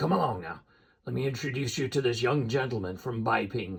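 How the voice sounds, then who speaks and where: Using a raspy put-on character voice, a man speaks at a medium pitch and a fairly quick pace with lively intonation. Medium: read story. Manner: rustic, wary.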